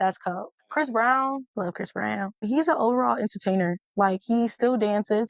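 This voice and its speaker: Heard in a dry, close sound with no echo, a woman with an American accent uses a plain, everyday voice at a fairly quick pace, with ordinary pitch variation. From Milwaukee, US Midwest. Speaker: rapper. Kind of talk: interview.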